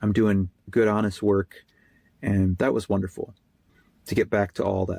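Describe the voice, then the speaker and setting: A man with an American accent speaks at a moderate pace in a fairly low pitch, his tone dark and mellow. The sound is dry and close, with no echo. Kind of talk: testimony. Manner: casual, hesitant with fillers.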